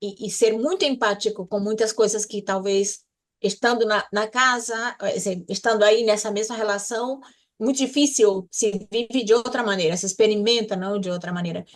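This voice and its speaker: A woman's fairly high voice, with fairly even intonation, moves at a moderate pace over a quiet background. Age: 60s. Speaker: podcast co-host. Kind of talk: casual chat. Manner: halting.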